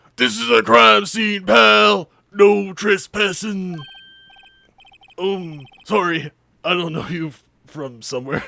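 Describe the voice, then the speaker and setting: A man puts on a gruff character voice with a high pitch. He goes at a fairly slow pace with long, frequent pauses and big swings in loudness. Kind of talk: comic overacting. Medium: game stream. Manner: gruff, blustery, says pal.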